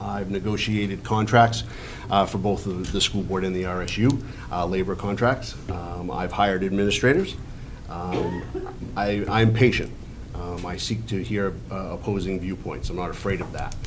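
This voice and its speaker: Over music in the background and with audible room echo, a man speaks at a moderate pace with ordinary pitch variation. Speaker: town council candidate. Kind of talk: candidate forum speech. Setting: public forum in high school, with audience. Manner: loud, projecting; hesitant, many fillers.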